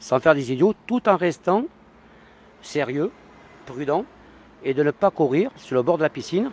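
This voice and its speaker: With long, frequent pauses, a man with a fairly high pitch uses lively intonation in a dry, close sound with no echo. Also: fairly slow pace. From Paris. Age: 50s. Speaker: passer-by. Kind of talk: street interview. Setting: outdoors.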